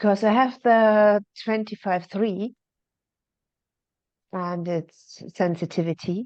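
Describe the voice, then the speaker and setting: With a German accent, a woman speaks very slowly at a medium pitch and fairly even intonation, leaving long, frequent pauses, in a dry, close sound with no echo and a quiet background. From Germany. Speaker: call participant. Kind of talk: casual chat. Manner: halting.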